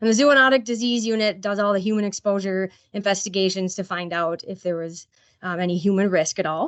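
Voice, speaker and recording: A woman's medium-pitched voice with ordinary pitch variation, at a fairly quick pace. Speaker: state animal health program staff. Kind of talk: presentation at a board meeting. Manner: fast.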